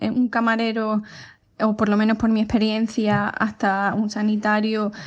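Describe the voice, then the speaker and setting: The delivery is fairly slow, against a quiet background. Intonation stays monotone and flat. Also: woman. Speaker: physiotherapist. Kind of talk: interview. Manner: hesitant, many fillers.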